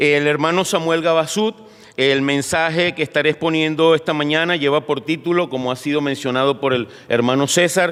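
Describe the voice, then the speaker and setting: A man with a fairly high-pitched voice. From Venezuela, Caracas. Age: 60s. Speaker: pastor. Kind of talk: sermon. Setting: church. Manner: halting, with frequent fillers.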